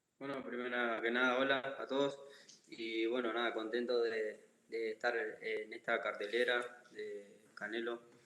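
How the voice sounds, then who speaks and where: Against audible room echo, a man at a medium pitch speaks in a monotone, flat way. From Argentina, Santa Fe. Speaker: boxer. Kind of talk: press conference statement. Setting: video call.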